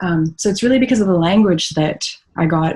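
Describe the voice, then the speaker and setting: Talking at a very fast pace, a woman has a somewhat breathy voice with a dark, mellow tone. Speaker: history professor. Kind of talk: podcast interview.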